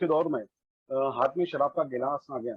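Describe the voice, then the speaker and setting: The speaker has a Marathi accent and ordinary pitch variation. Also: man. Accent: Marathi-accented Hindi. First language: Marathi (speaking Hindi). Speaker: recovering alcoholic, former lecturer. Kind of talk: testimony. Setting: online meeting. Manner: halting, with fillers.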